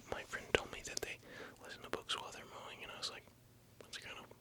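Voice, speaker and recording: Background noise is noticeable throughout. The speaker talks in a whisper. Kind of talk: ASMR whispered rambling, casual talk to camera. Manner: whispered, soft-spoken.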